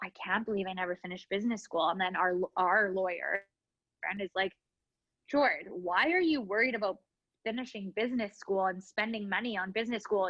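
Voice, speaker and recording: In a Canadian accent, a woman with a plain, everyday voice speaks at a fairly high pitch with lively intonation. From Canada, Winnipeg. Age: 30s. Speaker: business owner. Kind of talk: interview. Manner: casual, filler-heavy.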